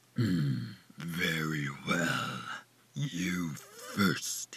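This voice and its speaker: This is a cartoonish character voice from a man. It is raspy and very deep and low in pitch. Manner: slow, composed.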